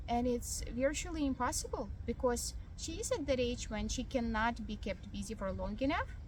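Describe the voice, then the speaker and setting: Audible room echo and noticeable background noise surround a woman who speaks at a moderate pace with hardly any pauses. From Ukraine. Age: young. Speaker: vlogger. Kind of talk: casual vlog monologue. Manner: hesitant, many fillers.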